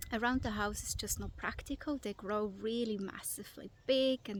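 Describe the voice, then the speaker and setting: A woman speaks with a non-native accent. Her pace is fairly slow. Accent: foreign. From Switzerland. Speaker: vlogger. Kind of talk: casual vlog. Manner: hesitant, with fillers.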